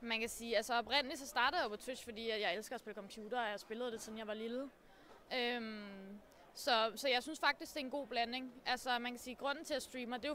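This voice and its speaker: A woman speaks at a very fast pace in a high, bright and sharp voice with fairly even intonation. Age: 20s. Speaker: streamer. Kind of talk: interview.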